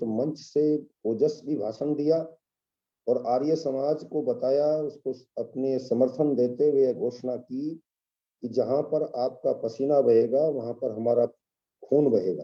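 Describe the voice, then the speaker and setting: A man speaks at a very slow pace with a fairly high pitch. His intonation stays fairly even. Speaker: webinar speaker on history. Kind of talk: lecture. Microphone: too quiet.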